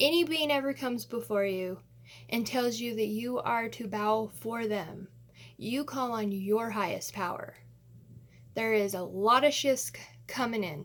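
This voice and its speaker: Here a woman has an ordinary speaking voice. Her pitch sits fairly high and varies in an ordinary way. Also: fairly slow pace. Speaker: astrology vlogger. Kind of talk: casual monologue to camera.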